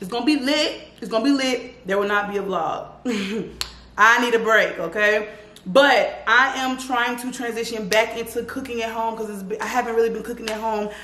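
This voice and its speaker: The room echo is audible as a woman speaks at a moderate pace. Her intonation stays fairly even. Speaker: lifestyle vlogger. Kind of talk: casual vlog chat. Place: kitchen. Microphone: camera far.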